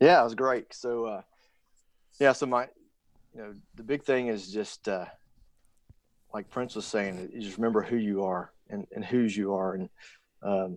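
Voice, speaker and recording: Moderate pace from a man at a medium pitch, fairly even intonation, quiet background. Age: 40s. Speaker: military fighter pilot. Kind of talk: casual chat. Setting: call.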